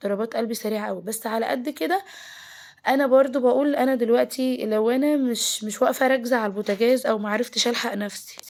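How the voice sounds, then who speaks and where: Noticeable background noise sits behind a woman whose voice is high-pitched. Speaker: home lifestyle vlogger. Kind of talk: casual vlog talk.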